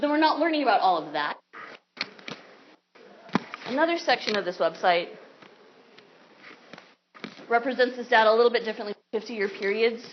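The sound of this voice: Lively intonation carries the speech at a moderate pace, broken by long, frequent pauses. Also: woman, fairly high pitch for a woman.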